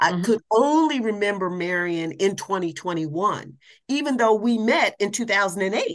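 A woman with an American accent has a normal speaking voice at a medium pitch. She talks at a fairly slow pace. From US Midwest, Columbus, Ohio. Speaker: public speaker and caregiver. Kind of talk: casual interview.

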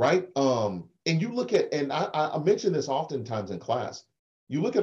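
With an American accent, a man speaks in a dark, mellow tone with vocal fry at a fairly high pitch. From Oklahoma. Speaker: political science professor and attorney. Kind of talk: interview, explanatory discussion.

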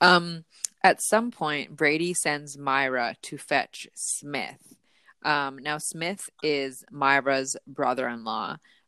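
The voice has a bright, sharp tone with ordinary pitch variation and big swings in loudness at a very slow pace. The sound is dry and close with no echo. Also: woman, very deep, low pitch for a woman. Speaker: podcast host. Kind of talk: casual chat. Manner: chatty, laughs often.

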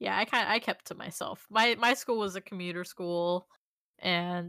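A woman at medium pitch with an American accent, moderate in pace and bright, sharp in tone, in a very clean recording with a silent background and a dry, close sound with no echo. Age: 20s. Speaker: podcast co-host. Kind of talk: casual chat.

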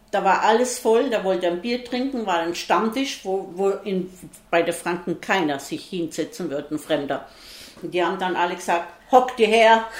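A woman's medium-pitched voice with lively intonation and a moderate pace, set against noticeable background noise. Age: 70s. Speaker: bar owner. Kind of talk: casual interview. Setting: in a bar, two metres apart.

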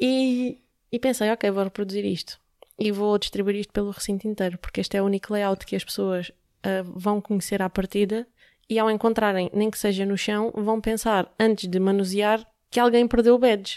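On a very clean recording with a silent background and a dry, close sound with no echo, a woman with an unremarkable speaking voice speaks at a medium pitch and a moderate pace. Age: 30s. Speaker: UX/UI designer and app entrepreneur. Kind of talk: interview. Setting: company office.

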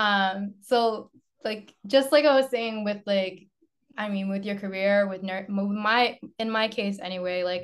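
In a normal speaking voice with an American accent, the speaker goes at a fairly slow pace with ordinary pitch variation against a quiet background. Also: woman. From Lynn, Massachusetts, US. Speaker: nurse, model and dancer. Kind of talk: casual chat.

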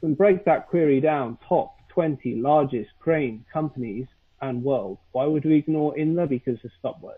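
A man with a British accent, fairly high in pitch, at a fairly slow pace with ordinary pitch variation. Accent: British, fairly posh. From London, England. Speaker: SEO consultant. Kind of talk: casual interview chat.

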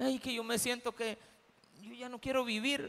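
A man uses a raised, projected voice at an extremely high pitch, with a bright, sharp tone and a moderate pace. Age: 50s. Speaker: pastor. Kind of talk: sermon.

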